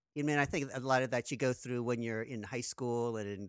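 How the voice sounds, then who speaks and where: In a very clean recording with a silent background and a dry, close sound with no echo, a man talks at a fairly quick pace in a normal speaking voice at medium pitch. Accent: American. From US, New Jersey. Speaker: film composer and music professor. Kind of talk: interview.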